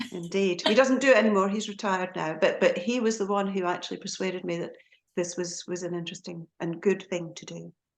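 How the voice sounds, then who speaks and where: Talking at a very fast pace in a Scottish accent, a woman shows ordinary pitch variation and big swings in loudness. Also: medium pitch for a woman. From Scotland, Aberdeen. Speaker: hypnotherapist and lecturer. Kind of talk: podcast interview.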